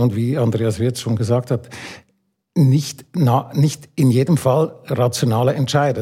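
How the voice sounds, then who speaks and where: A man talks at a medium pitch, his voice somewhat breathy. The tone is dark and mellow. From Switzerland. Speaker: architect and urban planner. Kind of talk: panel discussion.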